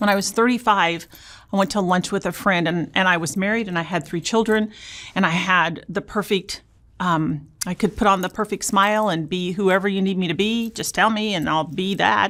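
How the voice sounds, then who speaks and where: With an American accent, an unremarkable speaking voice keeps a middling tempo and varies its pitch in a typical way. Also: woman. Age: 60s. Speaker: abuse survivor sharing her story. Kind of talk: interview testimony.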